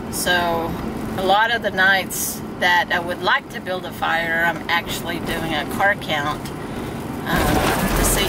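Loud background noise surrounds a woman in a dry sound with no echo. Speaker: park host. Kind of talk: casual vlog chat. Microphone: phone near.

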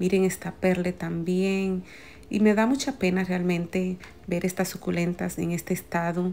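A woman is talking. She goes at a fairly slow pace. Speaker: plant vlogger. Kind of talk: casual vlog commentary. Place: shop. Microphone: phone near.

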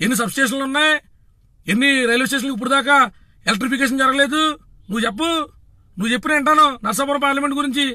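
A man projects a raised voice at an extremely high pitch. His tone is bright and sharp, with ordinary pitch variation. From Andhra Pradesh, Bhimavaram. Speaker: political party activist. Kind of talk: political rant. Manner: animated.

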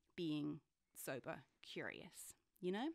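Speaking with a British accent, a woman's voice takes very wide pitch swings. The background is quiet. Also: dry sound with no echo. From UK. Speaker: author and journalist; journalist. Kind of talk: interview conversation. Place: studio. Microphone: studio mic.

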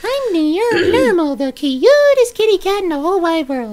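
An extremely high, put-on character voice with very wide pitch swings at a moderate pace. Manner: cutesy, sweet.

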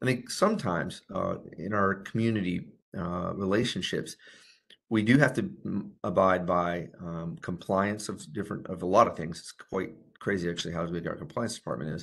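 A man with a very deep, low pitch speaks at a moderate pace, his loudness swinging widely while his pitch varies in an ordinary way. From Kentucky. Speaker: physician, addiction medicine executive; presenter. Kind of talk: webinar lecture and Q&A. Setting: online virtual forum. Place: home room. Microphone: webcam.

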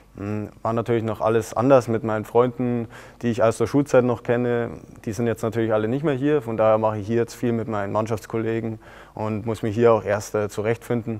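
This man speaks at a fairly quick pace. The intonation stays monotone and flat. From southeastern Bavaria, Germany. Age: 20s (20). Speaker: professional footballer. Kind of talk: interview. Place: studio. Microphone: lapel.

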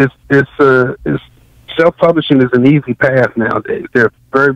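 A man with an unremarkable speaking voice, medium pitch, an American accent, ordinary pitch variation and a moderate pace, in dry, close sound with no echo. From Washington, D.C. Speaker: professor and novelist. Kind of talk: interview.

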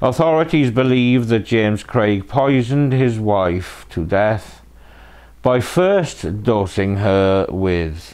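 Here is a man with a British accent and a fairly low pitch. He talks very slowly, his pitch swinging very widely. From UK. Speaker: true crime channel host. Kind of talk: scripted narration. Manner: sardonic. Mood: dry, wry humour. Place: home room.

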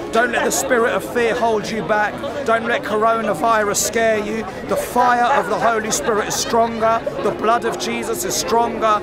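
Crowd noise fills the background while a man speaks at a moderate pace, the sound dry with no echo. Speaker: street evangelist. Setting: outdoors on a busy city street. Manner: emphatic and repetitive, saying each prayer phrase twice so the crowd can echo it; fervent, rising, call-and-response cadence. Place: street.

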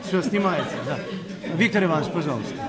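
A man speaks fast with lively intonation and a fairly high pitch. Clear background noise and clear crowd noise sit behind him.

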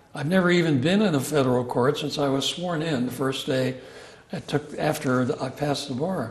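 The speech moves at a moderate pace, with audible room echo around it. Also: man.

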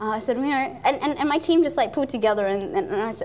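At a very fast pace, a woman talks with ordinary pitch variation. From Far North Queensland, Australia. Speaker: engineer and nonprofit founder. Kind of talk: interview. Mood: cheerful, animated. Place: studio.

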